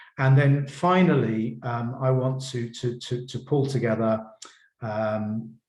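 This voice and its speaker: Somewhat breathy and medium in pitch, a man speaks at a very slow pace with fairly even intonation. Audible room echo is present. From Poland. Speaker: professor. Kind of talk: lecture. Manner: halting, many repetitions.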